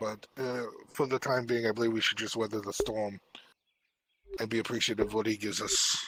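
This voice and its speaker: A man's raspy, put-on character voice at a medium pitch, flat and monotone, fairly quick but broken by long, frequent pauses. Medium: actual play. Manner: calm, measured.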